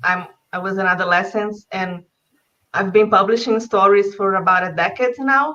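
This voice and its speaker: A woman's medium-pitched voice with a bright, sharp tone, ordinary pitch variation and a moderate pace. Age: 20s. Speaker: writer and translator. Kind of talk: online panel talk.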